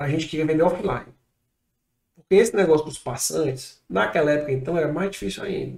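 A fairly high-pitched man with lively intonation. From Ceará, Brazil (Fortaleza). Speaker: entrepreneur. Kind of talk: interview.

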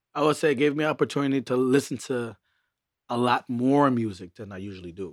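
A man with an American accent talks in a normal speaking voice at a medium pitch, with ordinary pitch variation, a fairly quick pace and big swings in loudness, on a very clean recording with a silent background. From Brooklyn, New York. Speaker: DJ. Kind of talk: casual interview chat.

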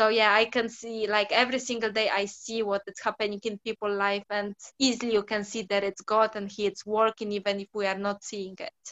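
Speaking in a Polish accent, a woman keeps a fairly quick pace. Her fairly high voice has monotone, flat intonation. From Poland. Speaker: football freestyler. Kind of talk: interview. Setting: radio studio.

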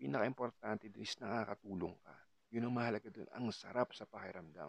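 Recorded dry and close with no echo, a man with vocal fry speaks at a fairly quick pace, at a medium pitch, with ordinary pitch variation. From Philippines, Cavite. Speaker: podcaster. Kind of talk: casual monologue. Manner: halting.

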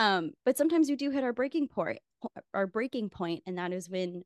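The voice swings very widely in pitch at a moderate pace. The sound is dry and close with no echo, over a quiet background. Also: woman. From Filipino heritage. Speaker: podcast co-host. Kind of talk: casual chat.

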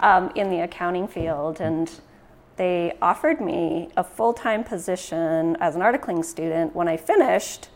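A woman's fairly low voice in a Western Canadian accent, at a moderate pace. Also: ordinary pitch variation. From Canada, Prince George, northern British Columbia. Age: 50s. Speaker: credit union CEO. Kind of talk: casual interview.

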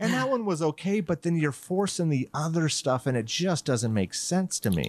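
A man's fairly high-pitched voice with very wide pitch swings, very even loudness and a moderate pace in a dry, close sound with no echo. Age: 50s. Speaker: horror podcast host, guest. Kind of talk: casual chat.

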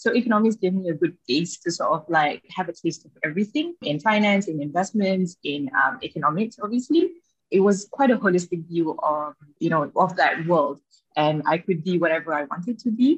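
Somewhat breathy and medium in pitch, a woman's voice moves at a fairly quick pace with lively intonation. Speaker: venture capital associate director. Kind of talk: interview.

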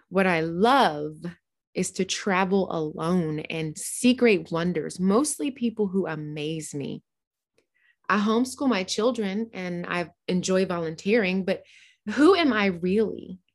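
With an American accent and a normal speaking voice, a woman talks at a fairly slow pace in a medium pitch with lively intonation against a quiet background. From US East Coast and South (New Jersey, Georgia, North Carolina). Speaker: podcast host. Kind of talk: scripted narration.

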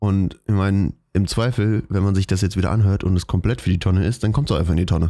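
A man's very fast delivery, fairly low in pitch, dark and mellow in tone, with ordinary pitch variation and very even loudness. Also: very clean recording, silent background. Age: 20s. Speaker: podcast co-host. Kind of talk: casual chat.

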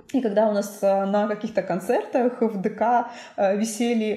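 This woman has an unremarkable speaking voice, a fairly high pitch and ordinary pitch variation. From Perm Krai, Russia (Suksun district). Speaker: museum director. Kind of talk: casual chat.

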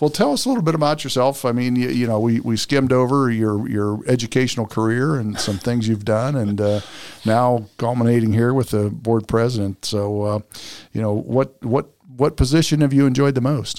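A man with an ordinary speaking voice, medium pitch, fairly even intonation and a fairly quick pace, on a very clean recording with a silent background. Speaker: school superintendent and podcast host. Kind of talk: interview podcast, conversational.

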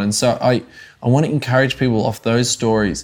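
With an Australian accent, a man talks at a moderate pace and medium pitch. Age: 30s. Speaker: evangelist and ministry coach. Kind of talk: interview, personal testimony. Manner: animated.

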